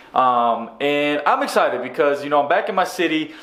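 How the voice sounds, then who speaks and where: Against audible room echo, a man with a fairly high pitch talks at a fairly quick pace in an animated tone, with ordinary pitch variation. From Chattanooga, Tennessee. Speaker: travel vlogger, former teacher. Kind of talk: vlog narration. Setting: walking into a TV station.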